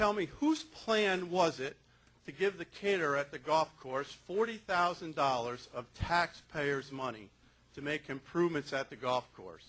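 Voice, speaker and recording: A man with an American accent and a plain, everyday voice, fairly high in pitch, with lively intonation and big swings in loudness. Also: fairly slow pace. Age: 60s. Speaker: resident speaking at town board meeting. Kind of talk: public comment at town meeting. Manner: formal.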